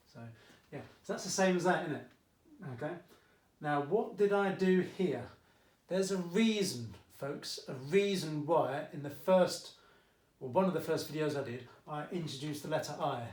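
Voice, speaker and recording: In a slight Essex accent, a man with a fairly high pitch speaks at a moderate pace with ordinary pitch variation, big swings in loudness and long, frequent pauses, in audible room echo. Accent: Essex accent, slight, coming out. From England, Essex. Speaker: maths teacher. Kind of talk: tutorial. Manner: casual, chatty.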